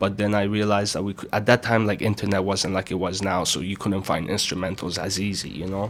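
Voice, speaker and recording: Speaking very fast with hardly any pauses, a man keeps his fairly low pitch in a flat monotone. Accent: Iranian. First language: Farsi. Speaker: rapper and music producer. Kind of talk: interview.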